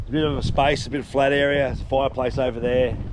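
The speaker talks at a very fast pace. Background noise is noticeable throughout. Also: man, dry sound with no echo. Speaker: solo travel vlogger. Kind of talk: casual vlog chat. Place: open country. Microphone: phone near.

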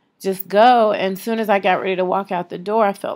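Her intonation stays monotone and flat as the woman talks. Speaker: vlogger. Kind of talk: casual vlog chat. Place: home room. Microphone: phone near.

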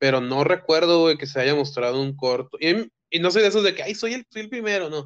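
With hardly any pauses and at a fairly quick pace, a man with an ordinary speaking voice and fairly high pitch uses lively intonation over a quiet background. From Mexico. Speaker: filmmaker; guest. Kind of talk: casual chat. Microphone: video call.

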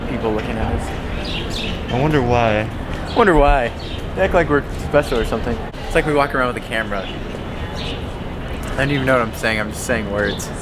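Against noticeable background noise, a man talks at a moderate pace with ordinary pitch variation. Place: street. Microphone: phone near.

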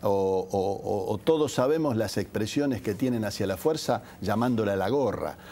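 With lively intonation, a man speaks in a fairly low voice with a dark, mellow tone. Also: moderate pace. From Argentina, Santa Fe province (Rafaela); Santa Fe province, Argentina. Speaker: politician, gubernatorial candidate; politician, candidate. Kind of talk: TV interview. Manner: frequent hesitations (eh) and repetitions. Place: studio.

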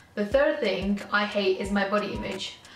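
A woman talks at a moderate pace, with audible room echo and light background noise. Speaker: vlogger. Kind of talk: casual vlog chat. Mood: candid, somewhat low, frank.

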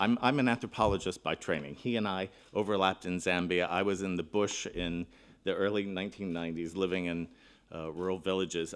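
A man's very deep, low voice with fairly even intonation. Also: fairly quick pace. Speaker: keynote speaker. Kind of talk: conference keynote address. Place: hall. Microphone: podium.

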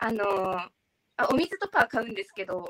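Over a quiet background, a woman speaks at a fairly slow pace in a bright, sharp tone. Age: 20s. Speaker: beauty pageant finalist. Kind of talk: interview. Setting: live stream. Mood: warm, praising a fellow finalist. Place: home room.

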